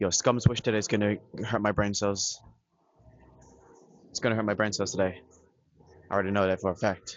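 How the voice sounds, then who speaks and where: Fairly quick, monotone, flat speech from a man at a fairly low pitch, broken by long, frequent pauses. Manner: projecting, carrying strongly.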